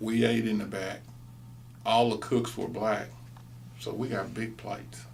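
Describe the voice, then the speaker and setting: A man with an American accent, medium pitch and vocal fry, at a fairly slow pace, with audible room echo. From East Texas. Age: 60s. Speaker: interviewee, former student. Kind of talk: oral history interview.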